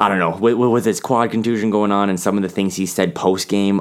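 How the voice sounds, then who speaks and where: Fairly quick and fairly low-pitched, a man talks in an ordinary speaking voice on a very clean recording with a silent background. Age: 30s. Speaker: sports website editor. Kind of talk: casual chat.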